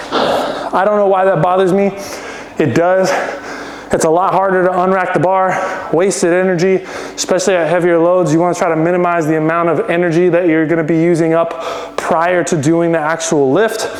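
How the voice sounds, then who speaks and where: A man's high-pitched voice at a fairly quick pace, monotone and flat in intonation, very even in loudness, with audible room echo and noticeable background noise. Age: 30s. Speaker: fitness vlogger, athlete. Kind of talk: training vlog with coaching tips.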